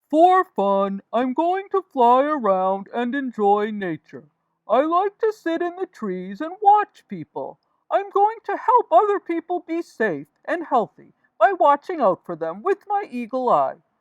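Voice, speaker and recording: This is a cartoonish character voice delivered at a fairly slow pace. Its pitch swings very widely. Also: woman, high pitch for a woman. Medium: puppet.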